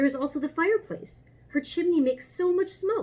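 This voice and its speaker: A woman's high-pitched, put-on character voice at a fairly quick pace. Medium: read story.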